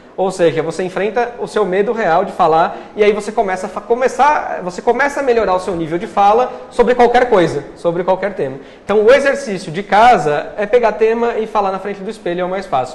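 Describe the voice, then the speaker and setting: A man's high-pitched voice with ordinary pitch variation, a fairly quick pace and noticeable background noise. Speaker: journalist and public speaking coach. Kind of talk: interview. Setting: live TV studio. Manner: steady, continuous.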